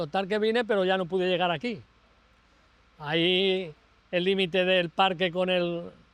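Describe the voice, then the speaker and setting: A man's voice, high in pitch, at a moderate pace. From Spain, Albacete province (Castilla-La Mancha). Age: 80s+. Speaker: flood survivor, retiree. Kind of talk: interview testimony. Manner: halting.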